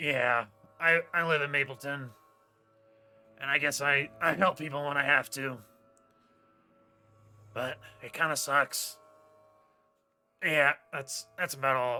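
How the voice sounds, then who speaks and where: A raspy put-on character voice at a fairly slow pace, with long, frequent pauses and faint music in the background. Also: man, fairly high pitch for a man. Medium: actual play. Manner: halting, mumbling, glum.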